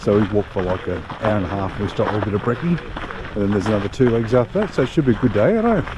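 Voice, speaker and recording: A man with an Australian accent speaks at a very fast pace in a fairly low pitch, his pitch varying in an ordinary way over noticeable background noise. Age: 60s. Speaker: travel vlogger. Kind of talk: casual vlog talk to camera. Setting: outdoors.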